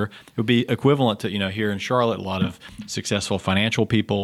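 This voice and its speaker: Someone with a Southern US accent speaks at a very fast pace, keeping to fairly even intonation. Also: man. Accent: Southern US, noticeable. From southeastern North Carolina. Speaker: psychiatrist, veteran services director. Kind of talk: interview conversation.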